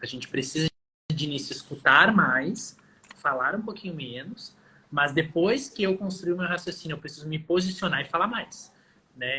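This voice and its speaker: Talking at a fairly quick pace, a man with a fairly high pitch and ordinary pitch variation shows big swings in loudness. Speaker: physiotherapist. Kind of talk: interview in a live stream. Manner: fast.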